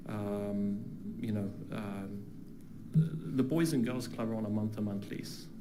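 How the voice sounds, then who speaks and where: A man with a British accent speaks at a fairly low pitch and moderate pace, his dark, mellow tone carrying ordinary pitch variation through audible room echo. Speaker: public commenter, flight school owner. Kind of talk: public comment at council meeting. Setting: council chamber with audience. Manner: halting, many fillers and repetitions.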